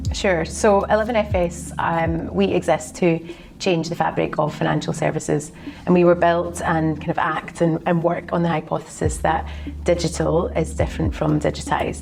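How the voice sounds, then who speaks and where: The speaker, with a Glaswegian accent, goes at a moderate pace against noticeable background noise. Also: woman. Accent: Glaswegian Scottish. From Scotland, Glasgow. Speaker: fintech strategy consultant. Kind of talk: interview. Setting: office.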